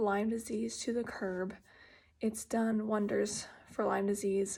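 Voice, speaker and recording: Soft-spoken and somewhat breathy, a woman talks with a fairly high pitch and fairly even intonation. The recording is very clean, with a silent background. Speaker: patient sharing health journey. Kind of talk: personal video update. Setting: at home. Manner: quiet, soft-spoken; hesitant, many fillers.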